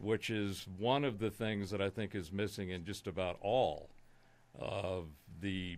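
A man's fairly low, plain, everyday voice with an American accent, fairly slow with ordinary pitch variation, in a very clean recording with a silent background. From Southern California. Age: 60s. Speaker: conspiracy analyst, musician. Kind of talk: casual interview.

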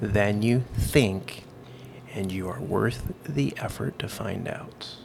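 Through noticeable background noise, a man with an American accent speaks at a very slow pace with ordinary pitch variation. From Idaho, US. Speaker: chef and LED business owner. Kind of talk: casual chat.

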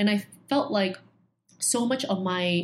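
A woman speaks at a medium pitch in a somewhat breathy voice. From Hong Kong. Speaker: education entrepreneur. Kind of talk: interview.

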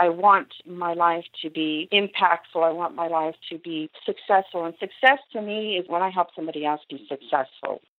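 In an ordinary speaking voice, a woman talks at a moderate pace with hardly any pauses, her fairly low pitch showing ordinary variation while her loudness swings widely. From Vietnam, raised in Arizona from age 4. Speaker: gardening and wellness coach, business owner. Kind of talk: interview.

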